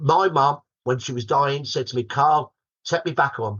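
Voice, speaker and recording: A fairly high-pitched man with a Birmingham accent, at a moderate pace with ordinary pitch variation. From Birmingham, England. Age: 60s. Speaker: historian. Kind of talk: podcast interview.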